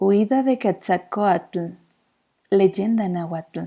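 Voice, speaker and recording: With music in the background, a woman of medium pitch speaks at a very slow pace and with fairly even intonation. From Mexico. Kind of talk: sleep story. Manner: soft-spoken, relaxing.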